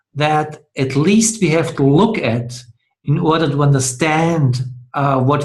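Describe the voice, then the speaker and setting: A non-native accent carries ordinary pitch variation throughout. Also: man. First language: not English. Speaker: dialogue host. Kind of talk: discussion. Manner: halting.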